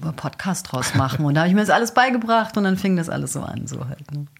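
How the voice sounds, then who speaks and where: Somewhat breathy and fairly low-pitched, a woman speaks at a fairly quick pace. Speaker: actress, dog trainer and hypnotherapist. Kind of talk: radio interview. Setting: radio studio. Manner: storytelling, like a radio play.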